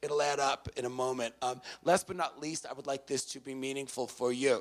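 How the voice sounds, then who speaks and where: The voice belongs to a man with a New York accent. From New York City, the Bronx. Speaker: motivational speaker. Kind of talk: speech to live audience. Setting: stage with audience. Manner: loud; energetic.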